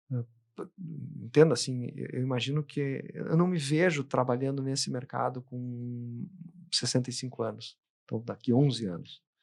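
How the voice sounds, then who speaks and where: Here a man is speaking at a moderate pace. His pitch is medium. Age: 50s. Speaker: advertising executive and trade association president. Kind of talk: interview conversation. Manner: halting, many repetitions and false starts.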